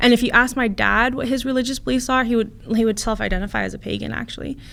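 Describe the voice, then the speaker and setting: A woman with an American accent talks at a very fast pace, her voice showing vocal fry. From US West Coast, Santa Cruz, California. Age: 20s. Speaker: family lawyer. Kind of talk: interview. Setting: studio.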